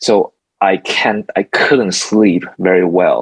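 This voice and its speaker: The speaker has a Mandarin accent, recorded with a dry, close sound and no echo. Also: man. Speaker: architect and songwriter. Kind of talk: interview. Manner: halting.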